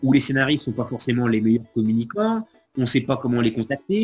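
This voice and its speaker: A man's somewhat breathy voice. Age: 40s. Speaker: comedian and radio presenter. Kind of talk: casual chat.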